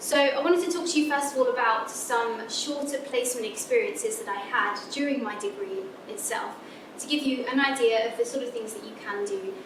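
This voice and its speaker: Fairly quick and high-pitched, a woman talks with lively intonation and big swings in loudness over noticeable background noise and audible room echo. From England. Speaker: physicist. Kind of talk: lecture. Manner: halting.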